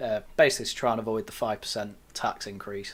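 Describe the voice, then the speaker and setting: An English accent in a very clean recording with a silent background. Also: man. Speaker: news roundup podcast host. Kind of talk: casual chat.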